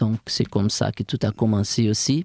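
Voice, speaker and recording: A man speaks at medium pitch with a dark, mellow tone and a Brazilian accent. The sound is dry and close, with no echo. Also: very clean recording, silent background. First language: Portuguese (speaking French). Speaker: strength and conditioning coach. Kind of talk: podcast interview. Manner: halting.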